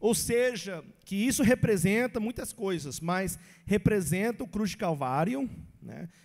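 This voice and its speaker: Here a man talks with a high pitch and lively intonation at a very slow pace. The recording is very clean, with a silent background. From English-speaking country. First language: English (speaking Portuguese). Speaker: pastor. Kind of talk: Bible teaching.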